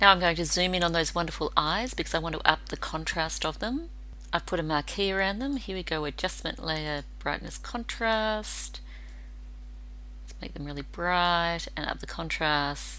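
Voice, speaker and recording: A woman at a moderate pace with big swings in loudness and audible room echo. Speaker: photographer. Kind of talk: tutorial. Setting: at work.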